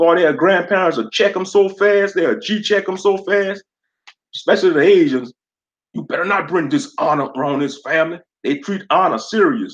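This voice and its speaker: With a Louisiana accent, a man speaks at a high pitch with lively intonation. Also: moderate pace. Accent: Louisiana southern. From Louisiana, US South. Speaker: livestreamer, gaming commentator. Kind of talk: casual livestream chat. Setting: live stream.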